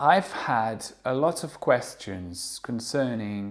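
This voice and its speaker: This is a man speaking. His pitch is fairly low. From France. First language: French. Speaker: English teacher. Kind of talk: monologue. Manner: slow; hesitant with fillers.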